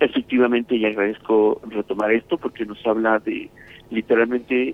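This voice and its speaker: A man speaks at a moderate pace and medium pitch in an unremarkable speaking voice. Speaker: children's rights advocate. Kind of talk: interview.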